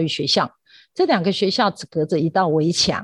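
This woman has an ordinary speaking voice, fairly low in pitch with ordinary pitch variation, moving at a fairly quick pace in a dry, close sound with no echo over a quiet background. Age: 50s. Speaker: primary school teacher. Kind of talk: radio interview.

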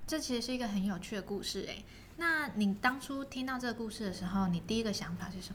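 Amid noticeable background noise and audible room echo, a woman speaks at a very fast pace with lively intonation and a fairly high pitch. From Taiwan, Kaohsiung. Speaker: podcast host, storyteller. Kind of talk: show outro; bedtime story reading and casual chat.

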